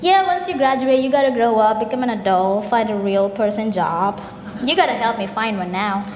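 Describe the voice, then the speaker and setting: A woman with a Keralan accent, fairly high in pitch and lively in intonation, at a fairly quick pace, with audible room echo and noticeable background noise. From India, Kerala. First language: Malayalam. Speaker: graduate student, festival co-presenter. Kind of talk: scripted stage dialogue.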